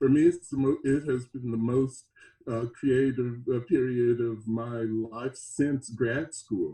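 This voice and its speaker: A dark, mellow, somewhat breathy voice at a very slow pace with fairly even intonation. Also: man, medium pitch for a man. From US South, Mississippi. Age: 70s. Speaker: experimental band musician. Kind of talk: interview. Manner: halting.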